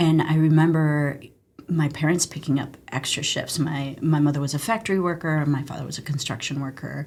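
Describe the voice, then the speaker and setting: A somewhat breathy woman's voice, very deep and low, with ordinary pitch variation. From Mexico, moved to US around age 6-7. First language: Spanish. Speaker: emergency physician, former army medic. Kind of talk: interview conversation. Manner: animated storytelling.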